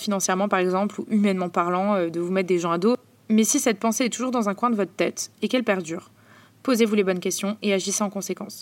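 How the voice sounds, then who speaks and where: A woman with a medium pitch races along at a very fast pace, her intonation fairly even. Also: very clean recording, silent background. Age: 20s. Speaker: podcast host. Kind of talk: personal monologue. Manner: casual.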